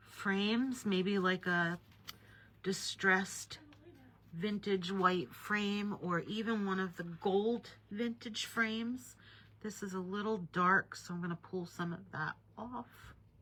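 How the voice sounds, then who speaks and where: A woman's medium-pitched, bright and sharp voice at a very slow pace, with fairly even intonation. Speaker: watercolor art teacher. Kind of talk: live painting tutorial. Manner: casual, chatty.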